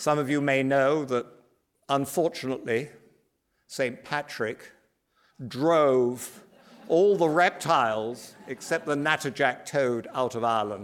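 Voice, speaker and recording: With a British accent, a man speaks at a fairly high pitch and a fairly slow pace. Long, frequent pauses break up his speech. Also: ordinary pitch variation, very clean recording, silent background. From British Isles. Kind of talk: lecture. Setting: stage with audience.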